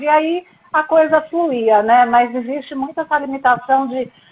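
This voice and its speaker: A woman speaks at a fairly slow pace. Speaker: sports broadcaster and presenter. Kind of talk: interview answer.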